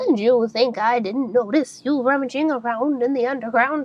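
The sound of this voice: A woman uses a shrill, put-on character voice at a high pitch. She keeps a moderate pace.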